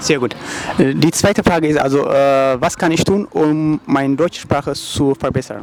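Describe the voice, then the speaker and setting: Amid noticeable background noise, a man with an Eritrean accent speaks at a moderate pace in a fairly high voice, his loudness very even. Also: ordinary pitch variation. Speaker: YouTuber street interviewer. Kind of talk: street interview. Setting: outdoors on the street.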